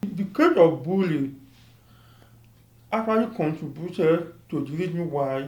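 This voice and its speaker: A man with a high voice speaks at a fairly slow pace with ordinary pitch variation and long, frequent pauses. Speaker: chemistry PhD student. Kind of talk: interview answer.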